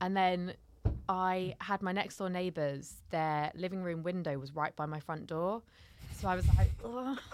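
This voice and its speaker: Talking at a moderate pace with a London accent, a woman leaves long, frequent pauses. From South London. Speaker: comedian and content creator. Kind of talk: casual chat.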